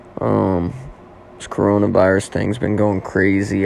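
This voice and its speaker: There is noticeable background noise as a man speaks with an American accent. His very deep, low voice moves at a fairly slow pace. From Oklahoma. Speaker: podcast host. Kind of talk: casual solo monologue. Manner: casual, filler-heavy.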